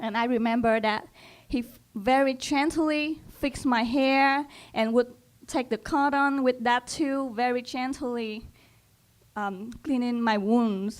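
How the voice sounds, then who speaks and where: On a very clean recording with a silent background, a woman with a high voice speaks at a very slow pace. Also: fairly even intonation. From Cambodia. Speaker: English language student. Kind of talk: personal storytelling talk. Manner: halting, with repeated words.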